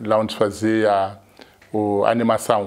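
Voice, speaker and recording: A man speaks in a flat, monotone way at a fairly low pitch, with a quiet background. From Mozambique, Maputo; Mozambique. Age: 50s. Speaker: cinema camera assistant. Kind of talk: interview. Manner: halting. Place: office. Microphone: lapel.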